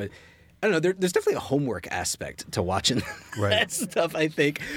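Speaking very fast with an American accent, a man uses a fairly high pitch and vocal fry. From US South, Richmond, Virginia. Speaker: comic book writer. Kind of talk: casual chat.

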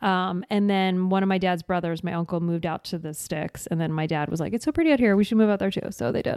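A woman with a slight New Jersey accent, very fast pace, medium pitch and ordinary pitch variation. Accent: faint New Jersey accent on certain words. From rural New Jersey. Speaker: actress and podcaster. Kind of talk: casual chat. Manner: frequent laughing.

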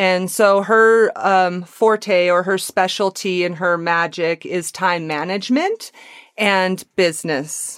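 At a very slow pace, a woman speaks with a medium pitch and fairly even intonation. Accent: American. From Wyoming. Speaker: Reiki and yoga practitioner. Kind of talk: casual interview. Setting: remote call.

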